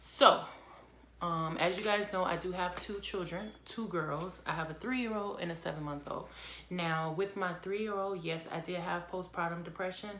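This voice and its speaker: A woman's voice at a moderate pace, fairly even in intonation, with audible room echo. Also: fairly low pitch for a woman. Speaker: vlogger. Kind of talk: casual chat.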